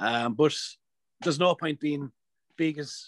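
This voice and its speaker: In an Irish accent, the speaker goes at a moderate pace with fairly even intonation, over a quiet background, with a dry, close sound and no echo. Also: man. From Ireland. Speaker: professional strongman athlete. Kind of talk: podcast interview answer. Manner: casual, profane.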